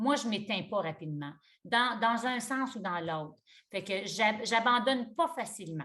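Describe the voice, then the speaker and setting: A woman speaks at a moderate pace in a fairly high pitch with ordinary pitch variation. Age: 60s. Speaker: yoga teacher. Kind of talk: interview conversation. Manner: halting.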